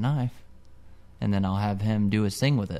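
A man with a fairly low voice and an American accent talks at a fairly quick clip. There's audible echo from the room. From central Illinois, US. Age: 30s. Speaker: metal fabricator. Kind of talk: casual interview chat. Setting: his own garage shop.

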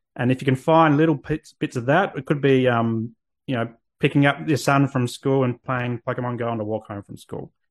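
A man with an Australian accent, medium pitch, moderate pace and fairly even intonation, against a quiet background. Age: 30s. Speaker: men's mental health therapist. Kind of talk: interview.

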